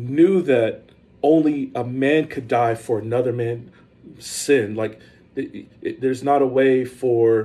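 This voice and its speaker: Somewhat breathy, this voice has a dark, mellow tone, ordinary pitch variation and an American accent. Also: man. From South Carolina. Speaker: pastor. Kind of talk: casual sermon-style podcast monologue. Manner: animated.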